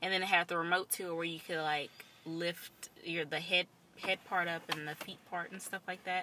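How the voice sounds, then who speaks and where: A woman's fairly low voice, monotone and flat, at a moderate pace. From Tennessee, near Nashville. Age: 20s. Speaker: podcast co-host, esthetician. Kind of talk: casual chat. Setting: in a car.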